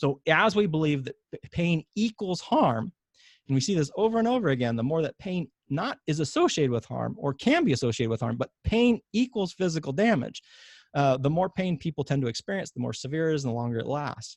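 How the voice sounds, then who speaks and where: Against a quiet background, a man speaks at a fairly quick pace in a fairly high pitch with very wide pitch swings. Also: dry, close sound with no echo. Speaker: physician and pain science educator. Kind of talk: webinar lecture. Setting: online webinar. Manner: fast.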